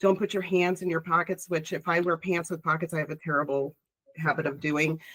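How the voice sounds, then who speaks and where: Here is a woman with a Chicago accent. Her pitch is fairly low. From Chicago, US Midwest. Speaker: public speaker, industry professional. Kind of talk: casual chat. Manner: animated.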